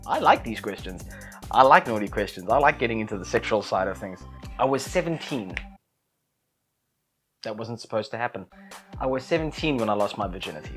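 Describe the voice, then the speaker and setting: A man with a South African accent talks at a very fast pace with lively intonation at medium pitch. Loudness swings widely, long pauses come often, and music plays in the background. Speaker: YouTuber. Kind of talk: casual talk to camera.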